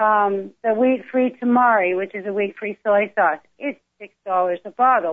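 Speaking at a fairly slow pace, a woman uses an ordinary speaking voice, fairly high in pitch, with ordinary pitch variation. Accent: American. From California. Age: 50s. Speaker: plant-based cooking advocate. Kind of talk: casual chat.

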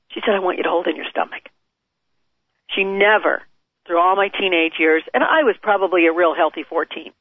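Long, frequent pauses break up a woman's speech, delivered with an American accent at medium pitch and ordinary pitch variation. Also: fairly quick pace. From US Midwest. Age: 50s. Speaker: author and foundation founder. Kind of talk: interview.

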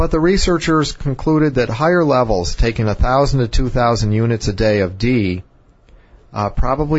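In an ordinary speaking voice, a man talks at a medium pitch. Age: 50s. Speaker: physician radio host. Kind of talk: health talk show.

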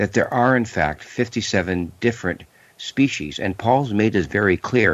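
Lively intonation from a man with a fairly low voice, at a moderate pace. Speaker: UFO researcher. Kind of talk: call-in radio discussion. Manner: halting.

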